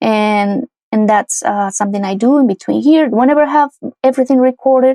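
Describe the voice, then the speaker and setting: A woman with a Spanish accent and a dark, mellow tone speaks at a moderate pace with ordinary pitch variation, in a dry, close sound with no echo. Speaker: music producer and singer. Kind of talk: tutorial. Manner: casual, with frequent fillers and restarts.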